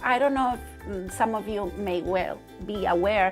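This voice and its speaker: With music playing in the background, a woman talks at a medium pitch with ordinary pitch variation. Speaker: fabric designer. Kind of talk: casual talk to camera. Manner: slow, hesitant with fillers.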